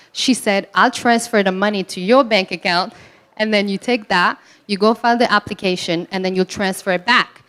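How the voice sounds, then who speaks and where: A woman with a non-native accent speaks at medium pitch with fairly even intonation. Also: moderate pace. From Morocco, raised in Belgium. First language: not English. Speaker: entrepreneur. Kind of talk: panel discussion.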